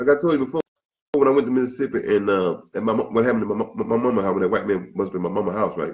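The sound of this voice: A man talks at a very fast pace in a fairly low pitch, with a slightly mellow tone and ordinary pitch variation.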